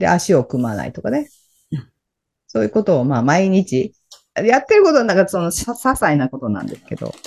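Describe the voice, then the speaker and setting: Speaking at a fairly quick pace, a woman with a fairly low pitch and vocal fry swings very widely in pitch and makes big jumps in loudness. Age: 60s. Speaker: empowerment coach and radio host. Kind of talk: casual chat.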